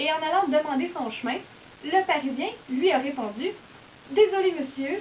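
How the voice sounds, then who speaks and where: Noticeable background noise sits behind a woman speaking in a Quebec accent with lively intonation. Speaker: university student. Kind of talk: casual explanatory monologue.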